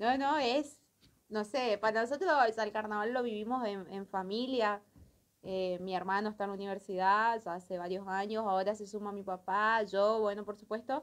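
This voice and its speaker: A woman's voice at a moderate pace with fairly even intonation. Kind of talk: interview answer. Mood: cheerful, laughing. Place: studio.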